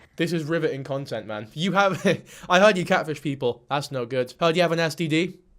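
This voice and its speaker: An animated man with a British accent talks at a fairly quick pace and fairly high pitch with ordinary pitch variation. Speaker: YouTube commentator. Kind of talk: commentary reaction video.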